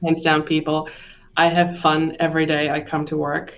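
Speaking at a moderate pace, a woman holds a very deep, low pitch in a monotone, flat intonation. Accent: Czech. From Czechoslovakia. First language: Czech. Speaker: investment firm executive. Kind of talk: interview. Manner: hesitant with many fillers.

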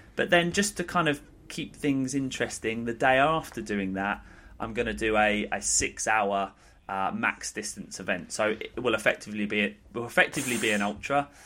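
On a very clean recording with a silent background, a man with a normal speaking voice talks at a moderate pace, medium in pitch and lively in intonation. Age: 30s. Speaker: fitness and nutrition coach. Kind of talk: casual chat.

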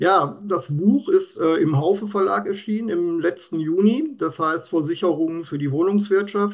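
A man talks at a high pitch with hardly any pauses. The background is quiet. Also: ordinary pitch variation, moderate pace. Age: 50s. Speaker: insurance expert. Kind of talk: interview. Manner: animated.

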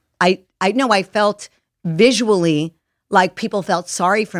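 A woman speaks in a New York accent with ordinary pitch variation. The recording is very clean, with a silent background and a dry, close sound with no echo. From Long Island, New York. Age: 60s. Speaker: Hollywood stylist. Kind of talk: interview conversation. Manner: animated.

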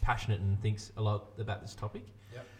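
A somewhat breathy man with an Australian accent, fairly low in pitch, at a fairly quick pace with fairly even intonation. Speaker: podcast host. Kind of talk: casual chat. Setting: studio. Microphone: new sound card.

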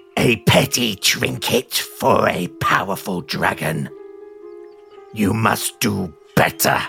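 A man speaks very slowly in a put-on character voice, his pitch fairly low, with clear music playing behind him. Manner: snarling.

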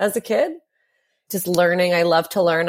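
A woman speaks at a moderate pace with a Canadian accent and medium pitch. It is an ordinary speaking voice. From Ontario, Canada (Hamilton). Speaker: former prisoner. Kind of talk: interview testimony.

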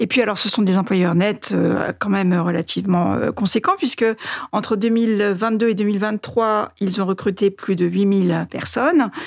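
A woman with a normal speaking voice, medium pitch, fairly slow pace, fairly even intonation and very even loudness. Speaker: newspaper editor-in-chief. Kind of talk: interview.

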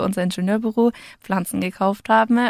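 A woman's ordinary speaking voice at a medium pitch and moderate pace, with fairly even intonation, on a very clean recording with a silent background and a dry, close sound with no echo. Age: 20s. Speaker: civil engineer and plant delivery founder. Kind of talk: interview. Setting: studio.

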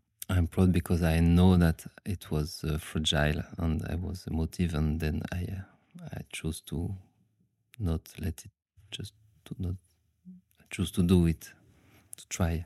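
In a French accent, a man speaks at a fairly slow pace with long, frequent pauses, his very deep, low pitch flat and monotone. His tone is dark and mellow, and the sound is dry and close with no echo. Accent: French, noticeable. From France. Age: 30s. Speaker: dancer and aikido teacher. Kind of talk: casual interview. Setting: late-night recording after workshop. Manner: halting.

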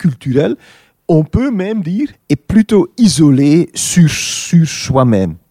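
Speaking very slowly in a Dutch accent, a man with a dark, mellow tone makes very wide pitch swings, recorded dry and close with no echo. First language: Dutch (speaking French). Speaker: film director. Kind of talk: interview.

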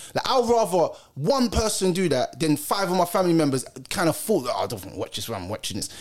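Very fast London-accented speech over noticeable background noise. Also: man. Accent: London Multicultural English. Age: 30s. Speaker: podcast host. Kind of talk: casual chat.

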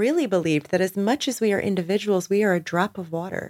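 A woman talks at a moderate pace with a medium pitch and ordinary pitch variation, a normal speaking voice. The sound is dry and close, with no echo. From New Jersey. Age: 40s. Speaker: public speaker and community founder. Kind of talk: casual interview.

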